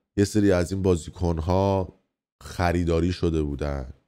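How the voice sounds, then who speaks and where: A man speaks with a very deep, low pitch and a dark, mellow tone, his pitch varying an ordinary amount. The recording is very clean, with a silent background. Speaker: online news commentator. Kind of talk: news commentary monologue. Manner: subdued, not energetic.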